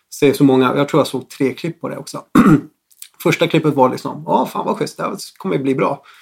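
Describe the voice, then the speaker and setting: This man talks at a fairly quick pace. Vocal fry runs through his voice. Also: fairly high pitch for a man, ordinary pitch variation. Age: 40s. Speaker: music producer. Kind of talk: casual chat.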